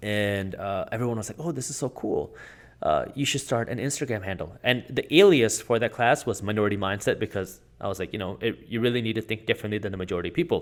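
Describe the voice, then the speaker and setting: A man with a non-native accent at a medium pitch, very fast pace and ordinary pitch variation, on a very clean recording with a silent background. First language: not English. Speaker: finance YouTuber and entrepreneur. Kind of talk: interview conversation.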